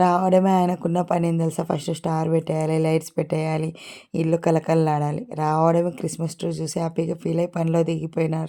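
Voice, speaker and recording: A woman speaks at a fairly low pitch with a dark, mellow tone. Her intonation is monotone and flat. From Telangana. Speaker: vlogger. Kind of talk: casual vlog narration.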